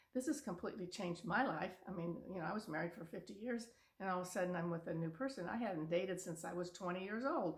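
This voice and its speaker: A woman talks very fast in a somewhat breathy voice, her pitch varying in an ordinary way. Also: medium pitch for a woman. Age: 70s. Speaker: video blogger. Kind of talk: motivational talk. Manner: casual.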